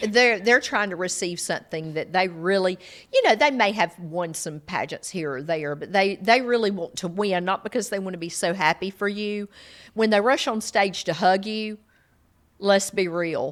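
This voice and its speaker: A woman with a Southern US accent, medium pitch, ordinary pitch variation and a moderate pace. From US South, South Georgia. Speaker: podcast co-host, pageant mom. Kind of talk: casual chat.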